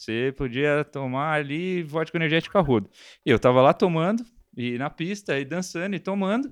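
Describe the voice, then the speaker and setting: Against a quiet background, a man with an unremarkable speaking voice and a fairly high pitch talks at a moderate pace with lively intonation. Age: 30s. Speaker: podcast host. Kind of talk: casual chat.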